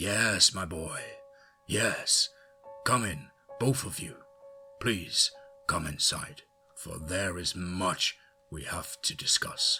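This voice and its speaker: A man's put-on character voice at medium pitch, very slow, with long, frequent pauses and faint music in the background. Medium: read story. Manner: calm, paternal.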